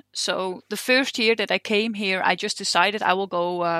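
In a Dutch accent, a woman speaks with a bright, sharp tone and fairly even intonation, the sound dry and close with no echo. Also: very clean recording, silent background. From Netherlands. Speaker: train driver. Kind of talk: interview. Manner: hesitant, many fillers.

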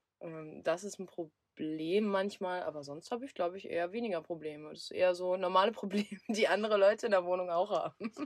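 Speaking with hardly any pauses, a woman has an unremarkable speaking voice at medium pitch with ordinary pitch variation. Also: fairly quick pace. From southern Lower Saxony, Germany. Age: 20s. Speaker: van traveller. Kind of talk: casual chat.

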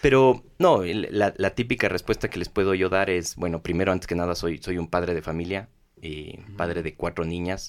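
At a moderate pace, a man's very deep, low voice shows ordinary pitch variation. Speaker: hotel company executive. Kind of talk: interview. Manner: halting, many repeated words.

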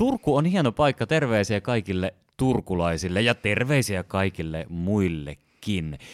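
On a very clean recording with a silent background, a man with a fairly low pitch talks at a fairly slow pace with very wide pitch swings, in a dry, close sound with no echo. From Helsinki, Finland. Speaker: physician and podcast host. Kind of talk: interview. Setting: studio.

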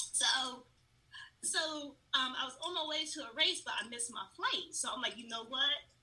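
A woman with an American accent talks at a high pitch with ordinary pitch variation, long, frequent pauses and big swings in loudness. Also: moderate pace. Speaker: nonprofit founder. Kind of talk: interview. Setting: podcast recording. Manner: animated.

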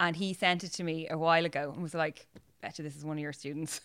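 A woman speaks with an Irish accent. Her intonation is monotone and flat. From Ireland. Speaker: podcast guest, works in advertising. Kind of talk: casual, conversational. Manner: chatty, self-deprecating storyteller.

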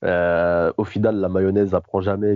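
A man's very deep, low voice at a moderate pace. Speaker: basketball podcast co-host. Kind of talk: casual chat. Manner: animated.

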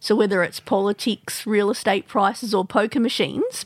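On a very clean recording with a silent background, a woman with an Australian accent speaks at a medium pitch. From Sydney, Australia. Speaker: podcast host. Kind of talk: interview; scripted narration. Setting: studio.

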